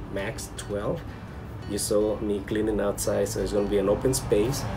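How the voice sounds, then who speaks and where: With music playing in the background, a man speaks at a moderate pace in a fairly low voice. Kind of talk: interview answer. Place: office.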